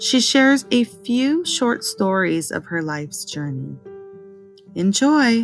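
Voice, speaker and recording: Over music in the background, a woman speaks at a very slow pace, her medium pitch making very wide swings. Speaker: podcast host. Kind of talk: podcast intro.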